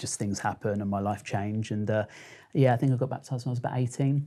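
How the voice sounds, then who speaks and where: On a very clean recording with a silent background, a man with a southern English accent speaks at a fairly low pitch in a dark, mellow tone. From Kent, England. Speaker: social media storyteller. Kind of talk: interview.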